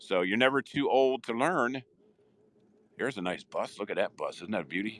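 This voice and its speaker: In a dry, close recording with no echo, a man with a medium pitch talks in an animated tone with ordinary pitch variation. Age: 60s. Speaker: live streamer. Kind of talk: casual live stream narration.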